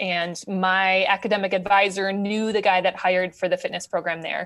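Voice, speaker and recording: A woman with a Wisconsin accent speaks at a moderate pace and medium pitch. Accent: Upper Midwest (Wisconsin). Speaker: ultrarunner, charity race founder. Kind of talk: podcast interview, casual.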